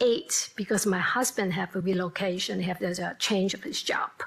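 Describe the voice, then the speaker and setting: A woman at a moderate pace with a Hong Kong accent, over noticeable background noise. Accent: Hong Kong Cantonese-accented English. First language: Cantonese. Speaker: nurse. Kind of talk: panel discussion.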